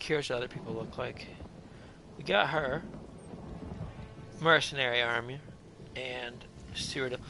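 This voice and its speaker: Speaking at a moderate pace with long, frequent pauses, a man is heard amid audible room echo and music in the background. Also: fairly even intonation. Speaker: gaming livestreamer. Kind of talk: casual gameplay chat.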